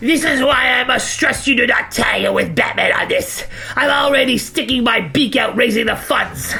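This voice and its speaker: A cartoonish character voice at a fairly high pitch and moderate pace, over faint music in the background. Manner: formal, pompous.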